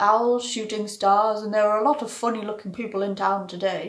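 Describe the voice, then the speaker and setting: Mumbling in a put-on character voice, a woman with a fairly high pitch talks at a fairly quick pace with monotone, flat intonation. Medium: read story. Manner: hesitant, mumbling.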